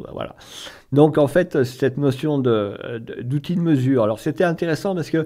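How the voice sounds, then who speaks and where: A man with a dark, mellow tone and fairly high pitch speaks at a moderate pace with lively intonation. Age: 60s. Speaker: local currency association co-president, former math teacher. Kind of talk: radio interview. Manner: hesitant, many fillers and repetitions.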